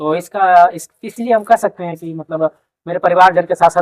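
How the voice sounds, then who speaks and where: Here a man speaks in a Jharkhand accent. His pitch varies in an ordinary way. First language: Kurmali (speaking Hindi). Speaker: newly appointed police officer, exam topper. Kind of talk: interview. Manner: hesitant with fillers.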